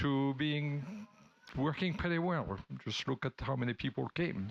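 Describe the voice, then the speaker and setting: With a French accent, a man talks at a fairly slow pace with ordinary pitch variation, in a dry, close sound with no echo. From France. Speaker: event presenter. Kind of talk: speaker introduction. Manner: hesitant, many fillers.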